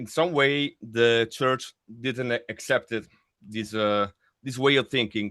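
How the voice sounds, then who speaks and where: A man at medium pitch, very slow pace and fairly even intonation, against a quiet background. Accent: Italian. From Italy. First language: Italian. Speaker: death metal vocalist. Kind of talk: interview. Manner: halting.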